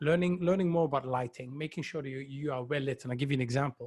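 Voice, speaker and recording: A man with a Dutch accent and a fairly high pitch sounds somewhat breathy, with ordinary pitch variation, in a very clean recording with a silent background. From Netherlands. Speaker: virtual facilitation trainer. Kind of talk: live stream chat.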